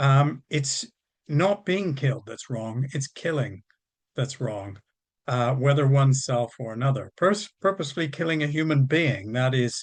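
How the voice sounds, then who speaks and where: Against a quiet background, a man with a Canadian accent speaks at a moderate pace in a fairly high, somewhat breathy voice with ordinary pitch variation. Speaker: professor and campaigner. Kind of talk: panel talk. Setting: webinar. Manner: halting, many fillers.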